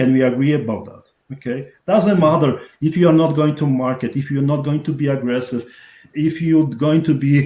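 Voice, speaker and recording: This man has a strong Polish accent and a fairly high pitch. His tone is dark and mellow. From Poland. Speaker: real estate investor. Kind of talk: interview.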